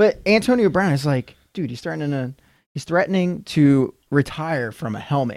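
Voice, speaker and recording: A man with a plain, everyday voice talks at a moderate pace, his fairly high pitch rising and falling in a lively way. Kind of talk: casual chat.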